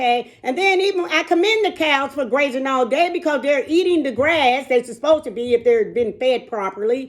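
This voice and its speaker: Here a woman speaks at a high pitch, her tone animated. Her intonation stays lively throughout. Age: 60s. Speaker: fitness and wellness vlogger. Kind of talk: casual chat.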